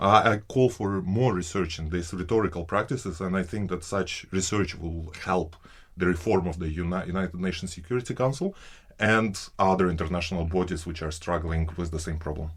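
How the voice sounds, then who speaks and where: A man's very deep, low voice, somewhat breathy, at a fairly quick pace with ordinary pitch variation. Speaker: PhD researcher. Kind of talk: interview answer.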